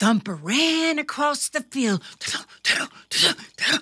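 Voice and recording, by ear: Unaffected reading of a text out loud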